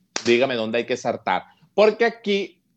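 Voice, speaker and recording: Very wide swings in pitch from a male speaker, delivered fairly quickly. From Venezuela, Petare (Caracas). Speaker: comedian. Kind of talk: interview. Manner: animated.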